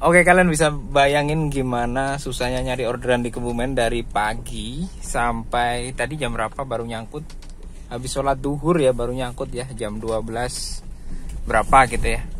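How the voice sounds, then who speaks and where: A man at a medium pitch speaks at a moderate pace with fairly even intonation, and audible room echo surrounds his voice. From East Java, Indonesia. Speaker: ride-hailing driver vlogger. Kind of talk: casual driving vlog. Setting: in a car.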